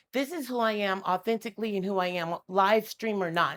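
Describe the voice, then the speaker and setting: Lively intonation and an animated tone from a woman at a moderate pace. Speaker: tarot reader and spiritual advisor. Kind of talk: impassioned educational rant to camera. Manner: loud; animated, aggressive-sounding.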